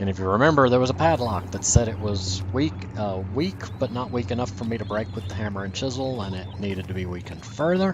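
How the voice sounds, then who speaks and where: A man with an American accent and fairly low pitch, plus audible room echo and noticeable background noise. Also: ordinary pitch variation. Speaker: let's play gamer. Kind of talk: gameplay commentary.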